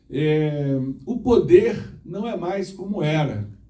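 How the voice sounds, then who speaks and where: Audible room echo surrounds a man with a dark, mellow tone and lively intonation. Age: 60s. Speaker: former mayor and engineer, conference speaker. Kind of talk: conference talk. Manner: halting, with repetitions.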